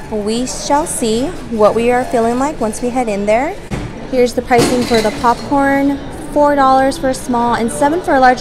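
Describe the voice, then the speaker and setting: Noticeable background noise sits behind a woman with a high pitch. She speaks at a moderate pace with ordinary pitch variation. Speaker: vlogger. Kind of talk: casual vlog chat. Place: hall. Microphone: phone near.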